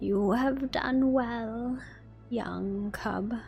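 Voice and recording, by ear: A put-on character voice, female-sounding and fairly high in pitch, over clear music in the background.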